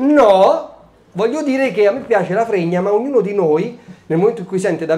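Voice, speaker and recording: A man's high-pitched, animated voice in a Roman accent, with ordinary pitch variation, over noticeable background noise. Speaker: stand-up comedian. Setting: stage with audience. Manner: animated, brash, comic timing with rhetorical questions and pauses for laughs.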